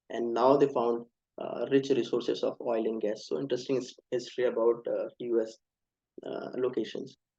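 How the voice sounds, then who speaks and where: This man talks at a moderate pace with an Indian accent. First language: Hindi. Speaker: speaker on US university applications. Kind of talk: online webinar presentation. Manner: halting, many fillers.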